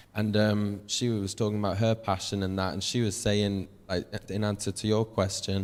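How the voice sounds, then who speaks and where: A moderate pace with monotone, flat intonation. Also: man, fairly low pitch for a man. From northern England, Warrington. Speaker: singer-songwriter on a music industry panel. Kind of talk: panel talk to an audience.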